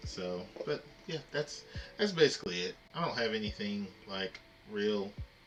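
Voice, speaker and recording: A man with a fairly low pitch speaks at a fairly slow pace with lively intonation over music in the background. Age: adult. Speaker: gaming livestreamer and teacher. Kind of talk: casual livestream chat. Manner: hesitant, many fillers.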